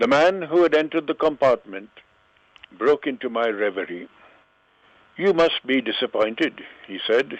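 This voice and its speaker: A man with a fairly high voice speaks at a moderate pace with lively intonation and long, frequent pauses. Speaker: author. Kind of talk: story reading. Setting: phone line.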